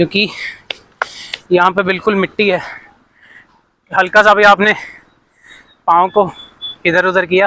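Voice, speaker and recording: A man uses a raised, projected voice with a high pitch. His intonation stays monotone and flat, broken by long, frequent pauses. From Punjab, India. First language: Punjabi (speaking Hindi). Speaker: travel vlogger. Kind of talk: travel vlog narration. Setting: outdoors.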